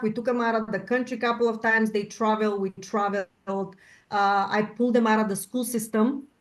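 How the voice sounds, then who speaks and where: A woman with a Bulgarian accent speaks at a fairly quick pace with hardly any pauses and fairly even intonation, over a quiet background. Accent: Bulgarian, noticeable. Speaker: panel guest. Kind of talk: panel discussion.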